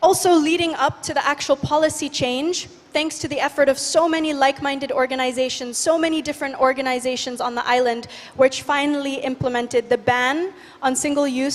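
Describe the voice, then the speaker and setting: Noticeable background noise sits behind a woman who talks at a fairly quick pace in a high pitch. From Indonesia, Bali. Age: 20s. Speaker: youth activist. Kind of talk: conference talk. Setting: stage with audience. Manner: energetic.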